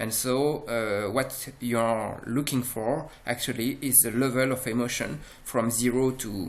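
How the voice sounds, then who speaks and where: At a fairly slow pace, a man speaks in a medium pitch with fairly even intonation. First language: French. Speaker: software presenter. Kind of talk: product demo. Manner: halting, many fillers.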